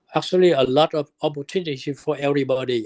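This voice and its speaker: This man has a fairly high voice and a non-native accent. His pace is moderate. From immigrant to the US from abroad, arrived 1979. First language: not English. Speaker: immigrant sharing life story. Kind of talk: oral history interview. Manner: halting, repetitive.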